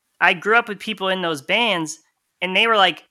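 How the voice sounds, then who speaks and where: On a very clean recording with a silent background, a man with an American accent uses a raised, projected voice, high-pitched with a bright, sharp tone, talking at a fairly quick pace with fairly even intonation. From Connecticut. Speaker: lathe cutting engineer and musician. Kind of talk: casual interview.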